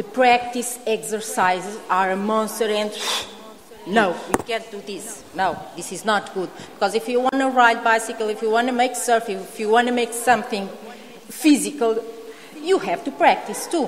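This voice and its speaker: A woman's fairly high voice in a Portuguese accent, at a moderate pace with ordinary pitch variation, recorded with audible room echo and noticeable background noise. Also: big swings in loudness. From Portugal. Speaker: home education speaker, mother. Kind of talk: conference Q&A answer. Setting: conference hall with audience. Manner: halting.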